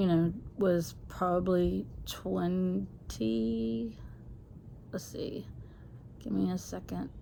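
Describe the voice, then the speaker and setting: Speaking at a very slow pace with long, frequent pauses, a woman uses a very deep, low pitch. Her pitch swings very widely, and the room echo is audible. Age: 60s. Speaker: vlogger. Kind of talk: personal testimony. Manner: halting, many fillers.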